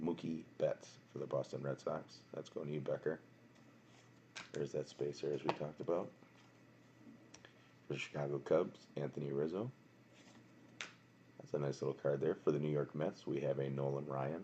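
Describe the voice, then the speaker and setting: A man speaks quietly in a very deep, low pitch with vocal fry and an American accent. His intonation is monotone and flat, his pace moderate, with long, frequent pauses. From Wisconsin, Milwaukee. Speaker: card box breaker streamer. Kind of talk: live stream card break commentary. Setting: home at night, live stream. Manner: quiet, subdued.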